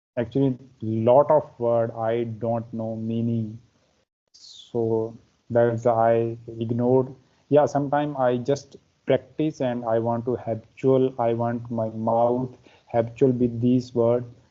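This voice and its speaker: A man's medium-pitched voice in a Pakistani accent, very slow and monotone, with flat intonation. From India, Himachal Pradesh. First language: Pahari. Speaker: English learner. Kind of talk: casual conversation practice. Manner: halting.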